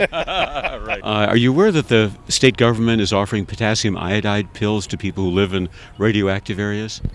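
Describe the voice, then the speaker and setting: Over noticeable background noise, a man with an American accent talks at a fairly low pitch with fairly even intonation. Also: moderate pace. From western Pennsylvania. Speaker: documentary interviewer. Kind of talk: street interview. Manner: halting.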